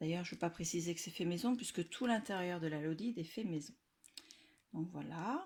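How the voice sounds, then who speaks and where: This woman speaks at a fairly quick pace with fairly low pitch and ordinary pitch variation. She leaves long, frequent pauses. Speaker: scrapbooking youtuber. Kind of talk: casual video presentation. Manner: loud; hesitant with fillers.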